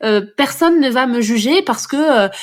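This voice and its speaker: A woman speaks with lively intonation. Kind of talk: podcast interview answer. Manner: natural, fluent, upbeat.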